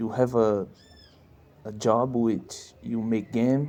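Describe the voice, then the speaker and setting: Speaking very slowly with a non-native accent, a man uses a medium pitch and a dark, mellow tone. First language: not English. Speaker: indie game developer. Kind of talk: casual monologue. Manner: halting.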